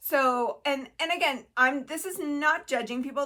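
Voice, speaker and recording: With ordinary pitch variation, a woman speaks in a bright, sharp tone. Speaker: mental health educator. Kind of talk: casual educational talk to camera. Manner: fast; halting, many fillers and restarts.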